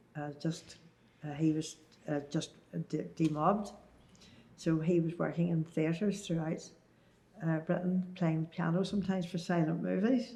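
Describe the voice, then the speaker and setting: A woman with a Northern Irish accent speaks at a moderate pace, leaving long, frequent pauses. Her fairly low voice is dark, mellow and somewhat breathy, with fairly even intonation. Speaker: Second World War oral history witness. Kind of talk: interview answer. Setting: oral history interview.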